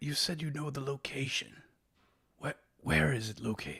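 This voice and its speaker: A man speaks at medium pitch in a put-on character voice. It sounds raspy and moves at a moderate pace. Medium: actual play. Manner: halting, gentle, polite.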